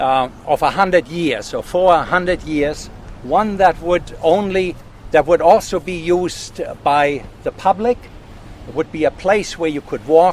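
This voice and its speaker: A man with a German accent and a high pitch speaks at a fairly slow pace with ordinary pitch variation over noticeable background noise. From Germany. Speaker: landowner and forest steward. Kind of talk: outdoor talk to a tour group.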